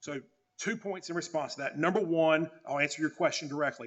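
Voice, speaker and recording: Here a man talks at a fairly quick pace with a fairly high pitch. His pitch varies in an ordinary way. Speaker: appellate lawyer. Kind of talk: oral argument. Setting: courtroom. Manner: fast.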